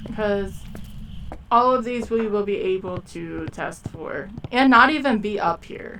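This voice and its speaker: Amid noticeable background noise, a woman speaks fairly slowly at a fairly high pitch, with ordinary pitch variation and big swings in loudness. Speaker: gaming streamer. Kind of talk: live gameplay commentary. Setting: live stream. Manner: casual, trailing off mid-sentence.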